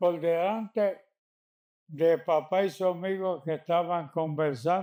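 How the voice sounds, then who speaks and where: A man with a Puerto Rican accent speaks at a very slow pace. His pitch is high and his tone dark and mellow. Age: 80s+. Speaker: community elder. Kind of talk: oral history interview answer.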